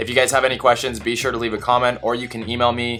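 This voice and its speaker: A man speaks at a medium pitch. Music plays in the background. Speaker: student pilot and flight instructor. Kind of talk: vlog monologue. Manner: monotone.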